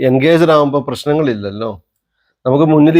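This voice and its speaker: A plain, everyday voice from a man, fairly high in pitch with ordinary pitch variation, on a very clean recording with a silent background. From Kerala, Wayanad. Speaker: travel vlogger. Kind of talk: casual chat.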